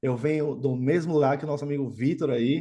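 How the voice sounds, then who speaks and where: Against a quiet background, a man talks at a fairly quick pace with fairly even intonation in an ordinary speaking voice. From Brazil, Natal, Rio Grande do Norte (Northeast). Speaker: quant trading executive. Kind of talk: podcast interview. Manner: casual, conversational.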